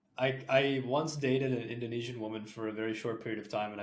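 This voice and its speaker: Talking very fast with fairly even intonation, a man is heard over noticeable background noise. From Canada. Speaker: podcast host. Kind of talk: podcast interview.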